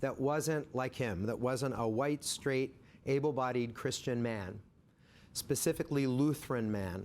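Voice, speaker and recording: A man with a medium pitch talks at a moderate pace, his pitch varying in an ordinary way. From central Pennsylvania (Harrisburg area), US. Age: 60s. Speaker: diversity consultant and speaker. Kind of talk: personal storytelling talk. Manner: conversational, with fillers.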